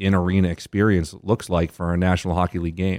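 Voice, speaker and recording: A man with an American accent speaks at a fairly quick pace in a very deep, low pitch and monotone, flat intonation. The recording is very clean, with a silent background. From Boston. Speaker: sports team marketing executive. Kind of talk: interview. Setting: studio in a hotel lobby.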